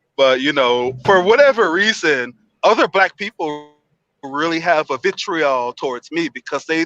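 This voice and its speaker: An American accent comes through in a bright, sharp tone, with a dry, close sound, no echo and a quiet background. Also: man. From Miami Beach, Florida, US. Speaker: live stream participant. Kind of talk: casual debate. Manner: hesitant, many fillers.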